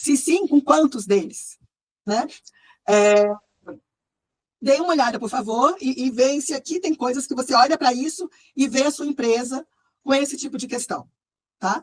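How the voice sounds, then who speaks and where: A high-pitched woman's voice with ordinary pitch variation and long, frequent pauses, in a dry, close sound with no echo. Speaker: management consultant and researcher. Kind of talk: online presentation to group. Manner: fast; frequent hesitations.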